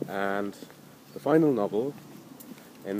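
Over noticeable background noise, a man speaks at a very slow pace with lively intonation. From India. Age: middle-aged. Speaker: novelist. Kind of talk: interview. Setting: outdoors at a cemetery.

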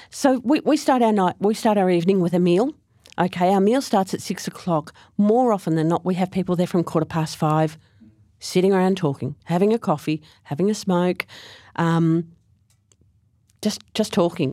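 On a very clean recording with a silent background, a woman with an Australian accent speaks with lively intonation and long, frequent pauses. Her pitch is medium and her tone dark and mellow. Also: moderate pace, very even loudness. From Australia, Frankston, Victoria. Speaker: Salvation Army officer. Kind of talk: interview conversation. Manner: hesitant, repeats words.

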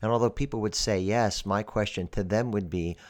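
A man with a normal speaking voice and an American accent talks at a moderate pace and a fairly low pitch, with ordinary pitch variation against a quiet background. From Pennsylvania, US. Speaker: podcast host. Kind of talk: scripted monologue.

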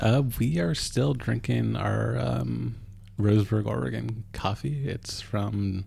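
Somewhat breathy and dark, mellow in tone, the man's voice moves through very wide pitch swings. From Alaska. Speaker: podcast host. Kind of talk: casual chat.

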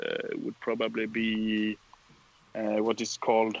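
A man with a Swedish accent talks at a fairly slow pace and a medium pitch. The sound is dry and close, with no echo. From southern Sweden. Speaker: tournament winner.

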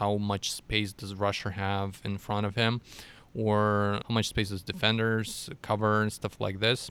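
Bright and sharp, this man's voice has a fairly low pitch. He keeps a moderate pace with monotone, flat intonation. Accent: Russian. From Russia. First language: Russian. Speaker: data scientist. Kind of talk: interview.

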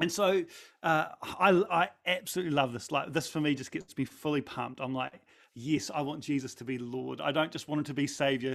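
A man talks with a New Zealand accent at a fairly high pitch, using ordinary pitch variation and a fairly quick pace. The recording is very clean, with a silent background. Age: 40s. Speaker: pastor. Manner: animated.

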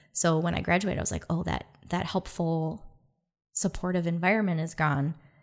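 Recorded very cleanly against a silent background, a woman with a Michigan accent talks at a fairly quick pace in a fairly low pitch with fairly even intonation. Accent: Midwestern American (Michigan). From Detroit, Michigan. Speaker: dancer and dance lecturer. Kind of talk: casual interview chat.

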